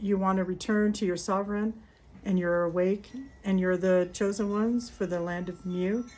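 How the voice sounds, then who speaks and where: This woman's voice sits at a medium pitch. Her intonation is monotone and flat. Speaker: spiritual healer and ritual guide. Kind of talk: guided ritual talk mixed with personal story. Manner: halting, many fillers.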